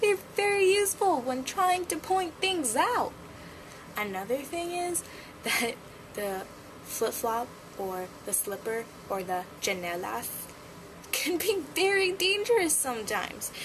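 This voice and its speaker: A woman at an extremely high pitch, with very wide pitch swings, long, frequent pauses and a fairly slow pace over noticeable background noise. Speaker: vlogger. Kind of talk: casual vlog monologue.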